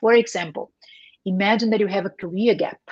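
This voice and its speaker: A woman speaks with a Portuguese accent. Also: dry, close sound with no echo. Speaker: career coach. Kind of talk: interview. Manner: hesitant, many fillers.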